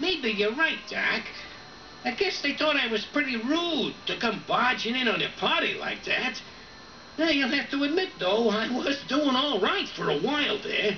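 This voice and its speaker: A put-on character voice moves at a moderate pace. Clear background noise is audible. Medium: audio drama. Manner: folksy, ungrammatical.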